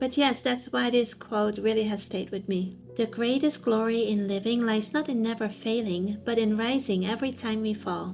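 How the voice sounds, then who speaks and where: Here is a plain, everyday voice from a woman, fairly high in pitch. She keeps a moderate pace and fairly even intonation. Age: 50s. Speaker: personal growth vlogger. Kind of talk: casual talk to camera.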